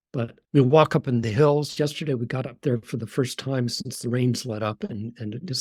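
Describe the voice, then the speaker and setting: Somewhat breathy, a man speaks at a moderate pace and medium pitch. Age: 70s. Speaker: retired neurologist and author. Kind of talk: podcast interview. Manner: halting, with repetitions.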